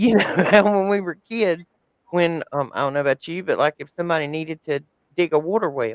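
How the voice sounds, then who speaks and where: Spoken at a fairly quick pace with an American accent, the voice has ordinary pitch variation and a dry, close sound with no echo. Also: man. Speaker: podcast host. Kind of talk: casual chat.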